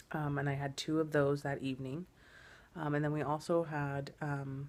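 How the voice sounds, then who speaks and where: Very deep and low, a woman's voice holds a monotone, flat intonation. The recording is very clean, with a silent background. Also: moderate pace. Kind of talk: casual vlog talk to camera.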